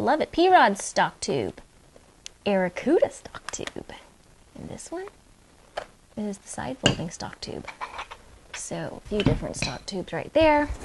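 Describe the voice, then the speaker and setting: A woman speaks at a fairly slow pace, leaving long, frequent pauses. Loud background noise runs behind her. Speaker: airgun channel host. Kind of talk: casual unboxing commentary. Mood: excited, playful. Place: home room.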